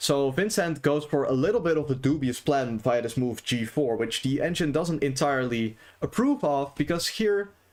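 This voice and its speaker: The speaker has a non-native accent and a moderate pace. Their intonation is lively. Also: man. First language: not English. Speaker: chess streamer. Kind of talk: live stream game commentary. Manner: casual, many fillers.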